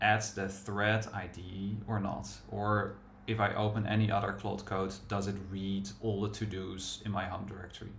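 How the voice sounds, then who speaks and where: There's audible room echo as a man with a fairly low pitch talks in a flat monotone with a strong Dutch accent. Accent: thick Dutch. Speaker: software developer and livestream host. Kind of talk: casual live coding chat.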